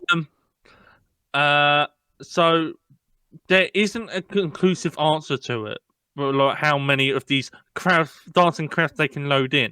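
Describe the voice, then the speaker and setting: The recording is very clean, with a silent background and a dry, close sound with no echo. A man speaks in a bright, sharp tone at a fairly high pitch, with long, frequent pauses. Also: ordinary pitch variation. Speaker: podcast co-host. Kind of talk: casual chat.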